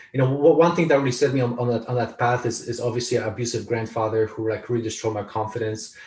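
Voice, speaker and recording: In a Polish accent, the speaker rushes along at a very fast pace with hardly any pauses, sounding somewhat breathy, with fairly even intonation. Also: man, medium pitch for a man. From Poland. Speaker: author and speaker. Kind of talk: interview. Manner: halting, many repetitions.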